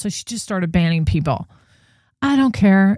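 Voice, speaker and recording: A woman with a New Jersey accent speaks in an animated tone at a medium pitch. The recording is very clean and dry, close, with no echo and a silent background. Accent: New Jersey American. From New Jersey, US. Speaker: true crime livestream host. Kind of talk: casual livestream commentary.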